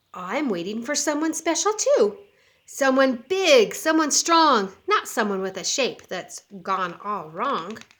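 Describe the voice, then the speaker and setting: A woman puts on a character voice, high-pitched with very wide pitch swings, delivered at a fairly slow pace. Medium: read story.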